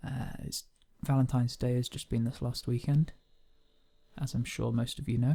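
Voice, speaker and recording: Soft-spoken and somewhat breathy, a man talks at a medium pitch in a dark, mellow tone with monotone, flat intonation. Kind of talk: poetry reading.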